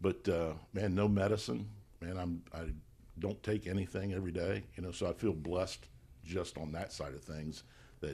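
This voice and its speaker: Very deep and low, a man's voice with a dark, mellow tone and vocal fry moves at a moderate pace with ordinary pitch variation. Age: 60s. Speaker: car dealership general manager. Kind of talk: casual chat.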